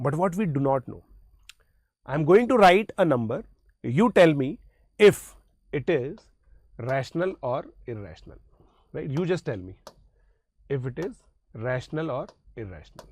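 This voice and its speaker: A man's voice in an Indian accent, fairly high-pitched, with vocal fry, very wide pitch swings, big jumps in loudness, a moderate pace and long, frequent pauses. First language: Hindi. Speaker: maths teacher. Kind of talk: lecture.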